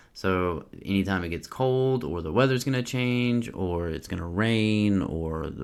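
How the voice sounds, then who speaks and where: Fairly low-pitched male voice with lively intonation at a moderate pace. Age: 30s. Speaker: podcast host, military veteran with bipolar disorder. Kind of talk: solo podcast, reading research notes and personal commentary. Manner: halting, self-correcting with fillers; casual, candid.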